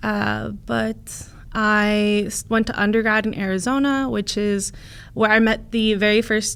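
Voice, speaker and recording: The speaker has a Californian accent and keeps a fairly even intonation. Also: woman. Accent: Californian American. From US West Coast, Santa Cruz, California. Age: 20s. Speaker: family lawyer. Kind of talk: interview. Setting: studio.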